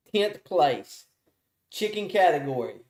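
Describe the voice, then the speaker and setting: A man with a strong Southern US accent speaks in an animated tone with lively intonation. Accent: thick Southern US. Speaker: awards show host. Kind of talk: live awards announcement. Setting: live stream. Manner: casual, animated.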